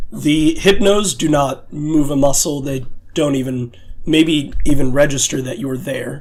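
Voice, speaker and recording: Putting on a raspy character voice, a man speaks at a moderate pace with a fairly high pitch and ordinary pitch variation over light background noise. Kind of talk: spooky tabletop narration. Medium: actual play. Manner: casual, hesitant with filler words.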